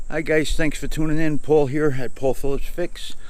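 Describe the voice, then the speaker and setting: Room echo is audible as a man speaks at a moderate pace. His intonation is lively. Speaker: car repair youtuber. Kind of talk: casual vlog.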